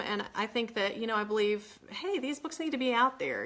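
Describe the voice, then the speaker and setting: The woman's voice has a bright, sharp tone. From West Virginia. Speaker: author. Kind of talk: casual live chat. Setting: livestream from home.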